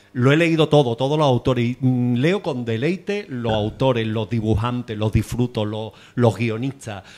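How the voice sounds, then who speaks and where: A man at medium pitch talks at a moderate pace with ordinary pitch variation and hardly any pauses. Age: 60s. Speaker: audience member. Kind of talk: audience comment at book talk. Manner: halting.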